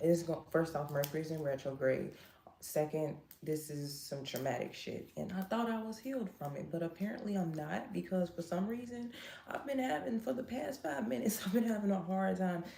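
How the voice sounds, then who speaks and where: A woman with a fairly low pitch speaks at a fairly quick pace with very wide pitch swings over noticeable background noise. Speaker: live streamer and psychic. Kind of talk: emotional livestream monologue. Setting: live stream. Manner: halting, self-interrupting.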